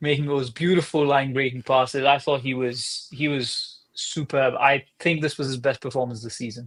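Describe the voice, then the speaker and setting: At a moderate pace, a man talks in a fairly high voice with hardly any pauses. His intonation stays fairly even. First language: not English. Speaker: soccer podcast co-host. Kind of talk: casual chat.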